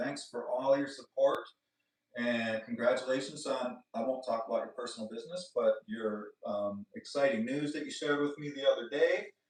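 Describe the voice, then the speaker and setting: A man is speaking. Music plays in the background. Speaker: flute maker and seller. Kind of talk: livestream chat with viewers. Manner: fast; casual, animated.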